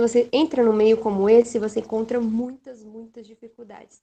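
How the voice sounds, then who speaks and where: A dark, mellow tone pairs with a fairly high pitch in this woman's voice. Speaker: nursing student. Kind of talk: panel interview.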